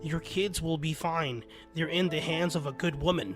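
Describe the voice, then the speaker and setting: Over clear music in the background, a man does a raspy, put-on character voice at a fairly high pitch and a moderate pace. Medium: read story. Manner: gentle, calm.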